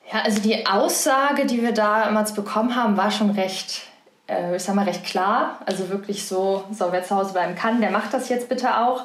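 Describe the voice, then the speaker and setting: The voice moves at a moderate pace with fairly even intonation and very even loudness, heard with audible room echo and noticeable background noise. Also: woman, fairly high pitch for a woman. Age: 20s. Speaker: hospital business unit manager. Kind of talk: interview.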